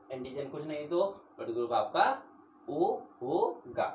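With audible room echo, a man speaks at a moderate pace in a fairly high pitch, with ordinary pitch variation and a slightly mellow tone.

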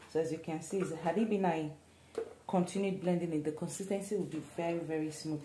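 Noticeable background noise runs behind a woman. She speaks at a moderate pace, and her pitch varies in an ordinary way. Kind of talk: cooking tutorial. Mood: relaxed, opinionated. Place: kitchen. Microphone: phone near.

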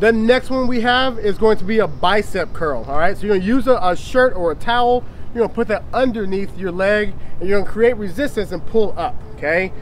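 A man's high voice at a fairly quick pace, with ordinary pitch variation, a dry sound with no echo, and light background noise. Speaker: fitness trainer. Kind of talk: workout tutorial instructions. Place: garden. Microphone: camera far.

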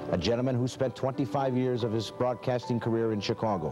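Over loud music in the background, a man speaks at a fairly quick pace. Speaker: TV host. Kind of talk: TV tribute narration. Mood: warm, respectful. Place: studio.

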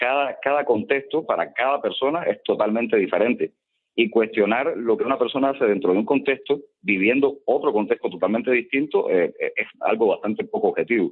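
A man with a Cuban accent talks at a fairly quick pace with very even loudness. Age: 30s. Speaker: playwright and activist. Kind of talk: radio interview. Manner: halting, repeats words.

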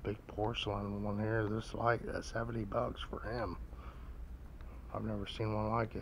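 A man speaks at a fairly low pitch and a moderate pace, with vocal fry. His intonation is monotone and flat.

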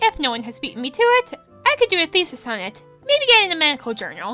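Music plays behind a woman talking in a raised, projected voice at a fairly quick pace. Her pitch swings very widely. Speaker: let's play narrator. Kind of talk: reading game text aloud.

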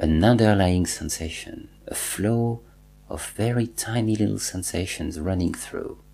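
A man talks at a fairly slow pace in a normal speaking voice, fairly low in pitch with ordinary pitch variation. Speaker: meditation teacher. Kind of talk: guided meditation, slow second-person instructions leading a body scan with pauses. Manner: calm, slow and soothing, repeating cues; gently instructive, reassuring tone with deliberate pauses.

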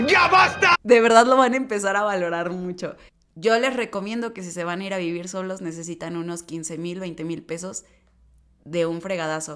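A woman with a Mexican accent, animated and bright, sharp in tone, at a moderate pace with big swings in loudness over light background noise. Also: medium pitch for a woman, ordinary pitch variation. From Mexico. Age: 20s. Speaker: lifestyle vlogger. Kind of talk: casual vlog advice. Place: home room. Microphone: studio mic.

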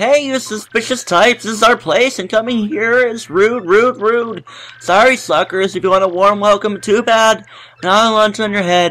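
High-pitched male speech in a put-on character voice, moderately paced. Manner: monotone.

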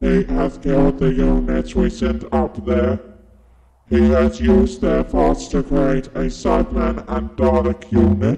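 The speech moves at a fairly slow pace. A strong echo surrounds it. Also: man, fairly low pitch for a man. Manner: flat, mechanical.

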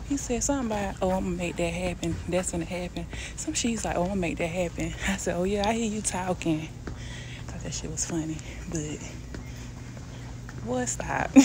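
Noticeable background noise surrounds a woman's voice. She speaks at a fairly quick pace, and the sound is dry with no echo. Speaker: vlogger. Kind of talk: casual vlog chat. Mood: amused, laughing storytelling. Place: shop. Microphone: phone near.

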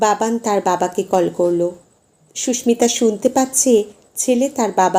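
The clip is plain reading aloud. Pitch shifts only in an ordinary way.

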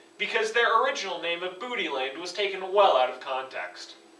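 Raised and projected, a man's voice moves at a moderate pace with very wide pitch swings and audible room echo. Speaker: presenter. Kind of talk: comedic school presentation. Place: classroom. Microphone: camera far.

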